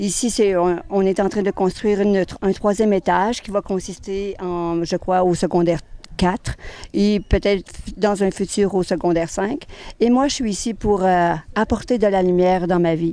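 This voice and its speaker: At a moderate pace, a woman speaks with a dark, mellow tone. Her pitch is medium and her intonation fairly even. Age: 60s. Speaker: humanitarian volunteer. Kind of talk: interview.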